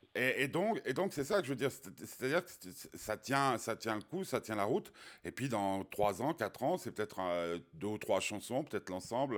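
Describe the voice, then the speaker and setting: A man's voice swings through a very wide pitch range, heard on a very clean recording against a silent background. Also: moderate pace. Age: 50s. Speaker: radio host. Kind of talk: interview. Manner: halting.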